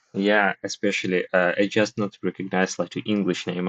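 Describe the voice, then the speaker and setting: A moderate pace with monotone, flat intonation. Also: man. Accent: Russian. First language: Russian. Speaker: participant in book discussion voice room. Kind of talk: casual chat. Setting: voice room on language app. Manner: halting.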